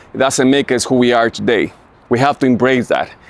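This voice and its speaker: A man talks at a medium pitch with fairly even intonation. Noticeable background noise is present. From Mexico, then Los Angeles (Rampart area). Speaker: podcast host. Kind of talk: casual monologue / channel intro. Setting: outdoors in a downtown LA alley. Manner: hesitant, many fillers.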